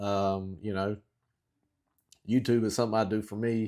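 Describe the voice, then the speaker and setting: Here a man talks in a Southern US accent. The recording is very clean, with a silent background. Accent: southern drawl. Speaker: outdoor YouTuber. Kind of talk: casual talk to camera. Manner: long pauses; slow, halting.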